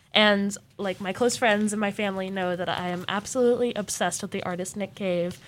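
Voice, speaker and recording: On a very clean recording with a silent background, a woman at medium pitch speaks fairly quickly and monotonously, with flat intonation and hardly any pauses. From Arizona (Mesa). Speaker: student podcast co-host. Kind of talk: casual chat.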